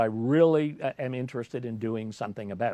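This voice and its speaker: A man speaks at a fairly quick pace in an animated tone. His intonation is lively. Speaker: business coach and livestream host. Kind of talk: solo livestream talk. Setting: live video broadcast. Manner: loud, articulated; animated, with hesitant fillers.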